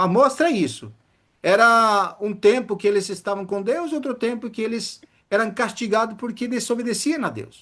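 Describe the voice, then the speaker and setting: With ordinary pitch variation, the man keeps a moderate pace against a quiet background. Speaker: preacher. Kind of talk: sermon.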